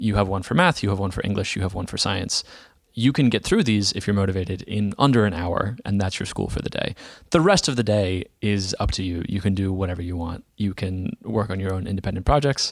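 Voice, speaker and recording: A man with a fairly low voice speaks at a fairly quick pace in an American accent, using an unremarkable speaking voice with ordinary pitch variation. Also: very clean recording, silent background. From Dallas, Texas. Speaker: software entrepreneur. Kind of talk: interview.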